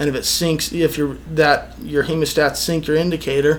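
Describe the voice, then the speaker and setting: With an American accent, a man speaks in a fairly high, monotone, flat voice over noticeable background noise. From Reno, Nevada, US. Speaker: fly fishing guide. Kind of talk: casual interview. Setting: on location near a lake lodge.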